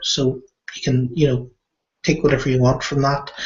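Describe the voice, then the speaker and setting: A man talks at a moderate pace and medium pitch, somewhat breathy, with monotone, flat intonation. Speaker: internet marketer vlogger. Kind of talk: casual monologue. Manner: halting, many fillers.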